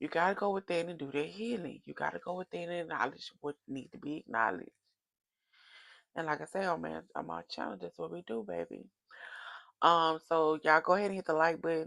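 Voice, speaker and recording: Loud speech comes at a fairly quick pace in a dry, close sound with no echo. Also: woman. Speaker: tarot oracle reader. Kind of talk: casual direct-to-camera reading. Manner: animated, preachy.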